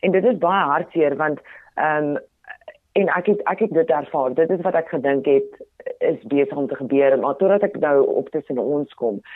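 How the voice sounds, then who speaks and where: The speaker has a Botswana accent. The intonation is lively. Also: woman, very deep, low pitch for a woman. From South Africa, Potchefstroom (Ikageng), North West. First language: Tswana (speaking Afrikaans). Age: 30s. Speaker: radio presenter and TV personality. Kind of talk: interview conversation. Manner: animated.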